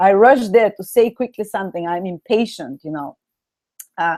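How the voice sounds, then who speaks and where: A plain, everyday voice with lively intonation at a moderate pace, dry and close with no echo. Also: woman. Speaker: astrology teacher. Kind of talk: online lecture. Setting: live video stream.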